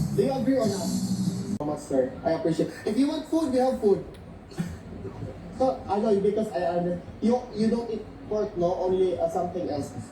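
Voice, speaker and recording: A loud voice with lively intonation leaves long, frequent pauses. Noticeable background noise and audible room echo fill the recording. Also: man, high pitch for a man, moderate pace. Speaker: event organizer. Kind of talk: interview.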